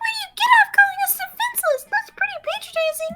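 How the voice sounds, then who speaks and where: A squeaky, extremely high-pitched put-on character voice at a fairly quick pace, with music in the background. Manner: indignant, annoyed.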